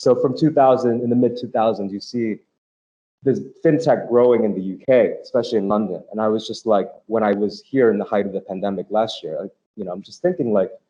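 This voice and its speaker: This man has a plain, everyday voice with an American accent. His pitch is medium, with ordinary pitch variation. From United States. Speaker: fintech media executive and report author. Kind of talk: panel interview. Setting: hybrid live event. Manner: repetitive filler-heavy speech.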